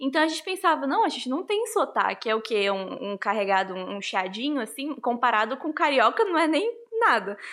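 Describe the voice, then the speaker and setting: Her pitch is high for a woman and swings very widely as she talks at a fairly quick pace. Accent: Rondônia. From Rondônia, Brazil. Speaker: interviewee. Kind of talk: interview.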